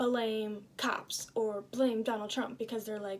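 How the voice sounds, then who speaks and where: A woman's fairly high voice holds a monotone, flat intonation. Her pace is moderate. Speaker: student. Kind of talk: casual book review. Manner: casual with many fillers.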